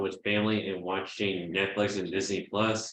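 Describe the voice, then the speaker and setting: An American accent comes through in a bright, sharp tone. The pace is moderate and the intonation is monotone and flat. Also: man. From Houston, Texas. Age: 20s. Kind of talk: reading a prepared bio presentation.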